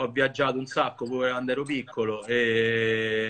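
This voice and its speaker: The man's tone comes across bright and sharp. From Rome, Italy (Monteverde). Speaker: streetwear collector, account manager. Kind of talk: casual chat. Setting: video call from home, on phone. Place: home room. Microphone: phone near.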